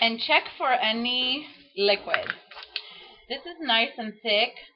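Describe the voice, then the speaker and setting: Her intonation lively, a woman talks in a Greek accent. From Greece. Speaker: home cook. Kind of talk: cooking tutorial. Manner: casual.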